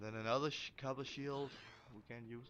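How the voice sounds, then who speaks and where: A man with a Danish accent over music in the background. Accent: Danish accent, noticeable. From Denmark. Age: 20s. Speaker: gaming youtuber. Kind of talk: gameplay commentary. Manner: halting, many fillers and repeats.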